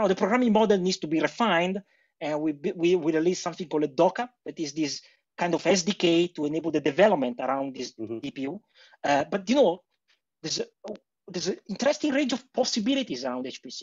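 Against a quiet background, a man speaks very fast at a high pitch. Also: lively intonation. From Italy. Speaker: HPC industry engineer. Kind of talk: interview. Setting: remote call. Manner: halting. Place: home room. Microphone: video call.

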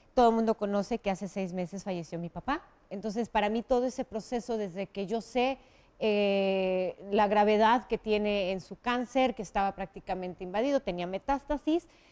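A woman with a normal speaking voice talks at a moderate pace and medium pitch, with ordinary pitch variation. The background is quiet, and the sound is dry and close with no echo. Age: 40s. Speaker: TV news presenter. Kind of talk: interview.

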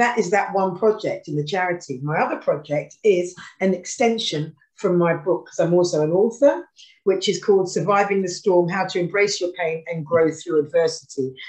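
With a British accent, a woman speaks at a moderate pace over a quiet background. Her fairly low pitch shows ordinary variation. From UK. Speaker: former pop singer and charity worker; guest. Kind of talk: casual chat. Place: home room. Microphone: video call.

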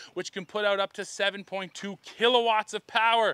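A man speaks in a raised, projected voice with a bright, sharp tone and a dry sound with no echo. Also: quiet background. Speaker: truck reviewer. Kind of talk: review commentary. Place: open country. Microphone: lapel.

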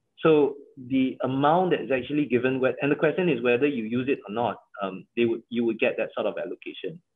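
A man with a Malaysian accent talks at a moderate pace over a quiet background. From Malaysia, Johor. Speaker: company CEO; guest. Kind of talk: interview. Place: home room. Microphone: video call.

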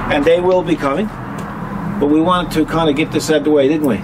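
A man is talking, his pitch varying in an ordinary way. Noticeable noise sits in the background. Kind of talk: casual vlog chat. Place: street. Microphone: camera far.

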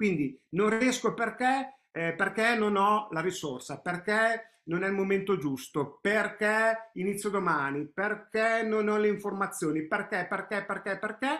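A man talks at a fairly slow pace with a high pitch. His pitch varies in an ordinary way, over a quiet background. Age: 50s. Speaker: personal growth coach. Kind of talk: online training webinar. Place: home room. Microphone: webcam.

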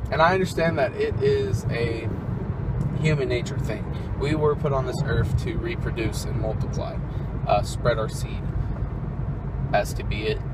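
A man at a moderate pace with long, frequent pauses, loud background noise and a dry sound with no echo. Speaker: vlogger. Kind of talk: casual vlog chat. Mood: earnest, opinionated. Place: car. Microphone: phone near.

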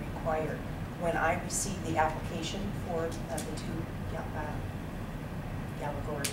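A woman speaks over loud background noise. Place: meeting room. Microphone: camera far.

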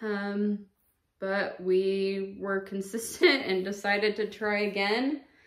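A woman speaking very slowly with fairly even intonation, audible room echo against a quiet background. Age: 30s. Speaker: vlogger. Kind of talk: personal testimony. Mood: calm, reflective about loss. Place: home room. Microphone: camera far.

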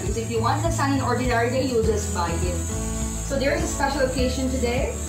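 A woman speaks over clear music in the background. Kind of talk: cooking tutorial. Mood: cheerful, laughing. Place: home room.

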